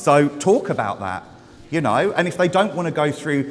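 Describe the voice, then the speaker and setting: The pace is fairly quick. Background noise is noticeable throughout. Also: man. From Essex, England. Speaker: hair stylist. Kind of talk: live demonstration talk to audience. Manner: loud; casual, sweary.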